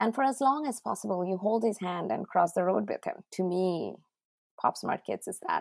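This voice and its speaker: With a Bengali accent, a woman speaks at a fairly quick pace in a fairly low pitch with vocal fry, in a dry, close sound with no echo and a very clean recording with a silent background. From India, Odisha. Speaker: tech entrepreneur and parent. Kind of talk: casual interview.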